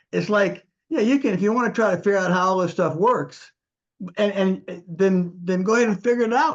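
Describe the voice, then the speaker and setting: Here a man speaks at a high pitch with ordinary pitch variation. His pace is fairly quick. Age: 70s. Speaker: retired engineer, discussion group participant. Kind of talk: group discussion. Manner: halting, repetitive false starts.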